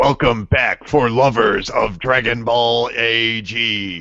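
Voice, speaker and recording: Very slow pace in a put-on character voice. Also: man, medium pitch for a man. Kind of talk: dramatic announcer. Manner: theatrical, enthusiastic.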